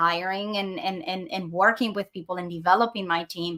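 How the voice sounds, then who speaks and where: A woman with a non-native accent, medium pitch, fairly even intonation, bright and sharp tone, moderate pace, on a very clean recording with a silent background. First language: not English. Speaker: dental practice consultant and host. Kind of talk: interview. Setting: live stream. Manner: halting, many repeated words.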